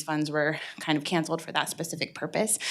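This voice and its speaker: At a fairly quick pace, a woman is speaking. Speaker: nonprofit director. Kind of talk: public comment at council meeting. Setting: council chamber, broadcast live. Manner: fast; hesitant with fillers.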